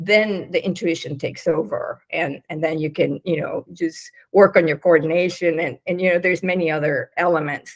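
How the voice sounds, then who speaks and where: A woman with a fairly low pitch speaks with hardly any pauses. Her intonation is fairly even, and the background is quiet. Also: moderate pace. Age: 60s. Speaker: business consultant; interview guest. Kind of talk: casual chat. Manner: halting. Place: home room. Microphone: video call.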